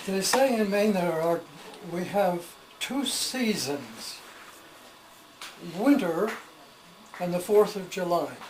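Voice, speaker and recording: Very slow speech from a man with a high-pitched voice, lively intonation and long, frequent pauses, over noticeable background noise. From Maine, USA. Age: 80s+. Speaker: historian and storyteller. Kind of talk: casual talk to camera, home tour.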